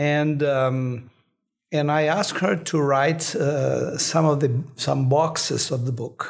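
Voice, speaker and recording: A man speaks very slowly in a Brazilian accent, his fairly high pitch held in fairly even intonation. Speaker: neuroscientist professor. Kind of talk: interview answers, explanatory. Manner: halting, hesitant with fillers.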